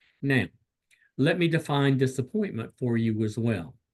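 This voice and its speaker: A man's medium-pitched voice in a Southern US accent, fairly slow in pace and lively in intonation. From US South. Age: 60s. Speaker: clinical psychologist. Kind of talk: lecture. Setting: video call.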